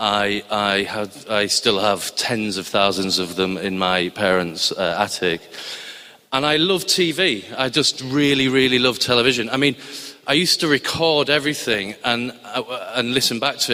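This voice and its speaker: A Cumbrian accent with lively intonation at a moderate pace, over noticeable background noise. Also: man, medium pitch for a man. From northern England, Barrow-in-Furness, Cumbria. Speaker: TV science documentary editor. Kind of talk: live storytelling to an audience. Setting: stage with audience in a chapel. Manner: hesitant, many fillers and restarts.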